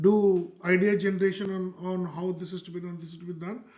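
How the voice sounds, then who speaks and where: A man speaks in a high pitch with a Telugu accent at a moderate pace. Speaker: author and self-publishing educator. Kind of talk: tutorial. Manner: casual with frequent fillers.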